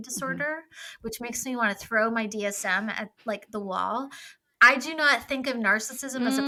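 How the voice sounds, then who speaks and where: Speaking at a moderate pace with a British accent, a woman's voice shows big swings in loudness. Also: fairly high pitch for a woman, ordinary pitch variation. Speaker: mental health clinician discussing psychology. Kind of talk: casual conversational with clinical terms. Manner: sassy, clinical delivery.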